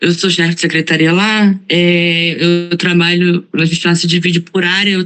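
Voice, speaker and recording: Her pitch sits in the middle range and her pace is moderate. The woman's delivery stays monotone and flat. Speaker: student in a course, lawyer by training. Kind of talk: self-introduction in an online class.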